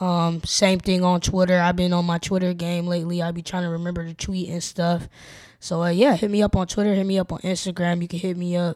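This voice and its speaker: A woman with an American accent speaks at a fairly quick pace and fairly low pitch in a monotone, flat intonation, on a very clean recording with a silent background. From Portland, Oregon (Northeast Portland). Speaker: rapper and singer-songwriter. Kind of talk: casual interview chat.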